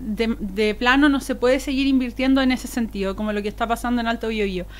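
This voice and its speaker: Fairly high in pitch, a woman talks at a fairly brisk clip. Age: 30s. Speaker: political candidate. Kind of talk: interview. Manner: fast; fluent, animated.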